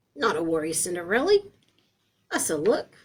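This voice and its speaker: In a put-on character voice, a woman speaks at a moderate pace with a fairly low pitch. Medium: read story. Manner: clipped, chirpy.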